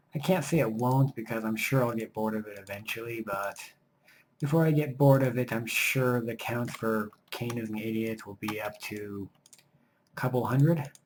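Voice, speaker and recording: A quiet man of medium pitch at a moderate pace, ordinary pitch variation and big swings in loudness. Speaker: gaming let's play commentator. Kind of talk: casual gameplay commentary. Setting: home recording at night. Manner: quiet, subdued volume.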